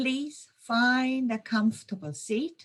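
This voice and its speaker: A woman's calm, somewhat breathy voice with a slight German accent. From Germany, Munich. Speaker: intuition trainer and yoga teacher. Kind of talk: webinar presentation; guided meditation. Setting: online webinar. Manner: slow, calm.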